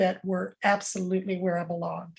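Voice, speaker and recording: A woman speaks at a moderate pace in a somewhat breathy voice, on a very clean recording with a silent background. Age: 70s. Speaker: employment lawyer and speaker. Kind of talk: interview.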